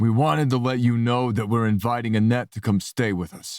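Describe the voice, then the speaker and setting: A man's put-on character voice at medium pitch and a fairly quick pace, on a very clean recording with a silent background. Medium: read story. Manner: calm, light.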